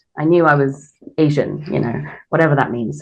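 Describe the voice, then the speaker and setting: A woman speaks at a fairly slow pace with a British accent. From England, then Korea from teens. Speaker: radio host. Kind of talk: interview. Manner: hesitant, many fillers.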